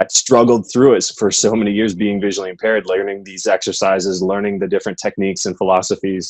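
A man with an American accent and a fairly low pitch, talking at a very fast pace with hardly any pauses against a quiet background. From US Midwest, southwest Michigan. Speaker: Paralympian and personal trainer; personal trainer. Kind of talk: interview. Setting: remote interview from home. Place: home room. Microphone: earbuds.

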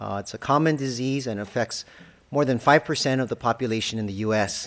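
Talking at a fairly quick pace, a man shows ordinary pitch variation. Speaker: pulmonologist. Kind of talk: lecture. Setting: stage with audience. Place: hall. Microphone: podium.

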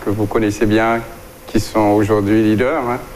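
There is light background noise behind a man speaking at a fairly low pitch. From Guadeloupe. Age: 60s. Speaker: doctor and plant-products entrepreneur. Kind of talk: interview. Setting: studio. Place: studio. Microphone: lapel.

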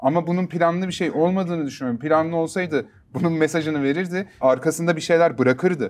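A man speaks with a high pitch at a very fast pace. He barely pauses, and his pitch varies in an ordinary way. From Istanbul, Turkey; Turkey. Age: 30s. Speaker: rapper and music producer; interview guest. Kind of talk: interview. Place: studio. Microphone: lapel.

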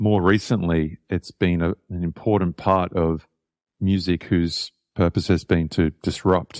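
A man with an Australian accent speaks at a very deep, low pitch in a monotone, flat delivery at a fairly slow pace. The recording is very clean with a silent background and a dry, close sound with no echo. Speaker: jazz saxophonist and composer. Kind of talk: interview. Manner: halting, with many repetitions.

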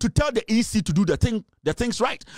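In a dry sound with no echo and a quiet background, a man with a high voice speaks in an animated tone at a fairly quick pace. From Ghana. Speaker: political commentator. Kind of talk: political rant. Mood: angry, combative. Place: studio. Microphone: studio mic.

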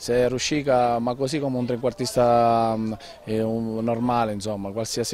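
The man's monotone, flat delivery comes at a moderate pace, with a dry sound with no echo and light background noise. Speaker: football coach. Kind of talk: post-match interview. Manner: halting, hesitant with repetitions. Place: open country. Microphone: handheld.

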